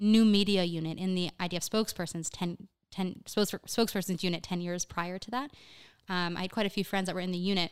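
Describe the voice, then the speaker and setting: A woman uses an ordinary speaking voice at a medium pitch and a fairly quick pace. The recording is very clean, with a silent background. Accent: American. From US East Coast, Miami. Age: 20s. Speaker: communications manager. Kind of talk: casual interview.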